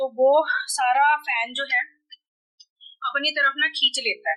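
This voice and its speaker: A woman speaks with ordinary pitch variation. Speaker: family vlogger and clothing seller. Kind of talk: casual vlog with product showcase.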